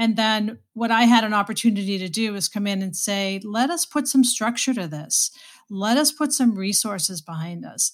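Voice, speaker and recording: A woman with an American accent speaks in a fairly high, somewhat breathy voice with lively intonation. The recording is very clean, with a silent background. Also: moderate pace. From Boston, Massachusetts. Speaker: HR executive, former nurse. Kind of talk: interview.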